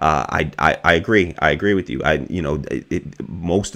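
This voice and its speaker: A man with an American accent speaks at a very deep, low pitch. His pace is moderate, and his pitch variation is ordinary. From Boston area, Massachusetts. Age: 30s. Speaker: political live-stream host. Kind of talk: live stream monologue reading chat. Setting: solo live stream. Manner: halting, many restarts and fillers.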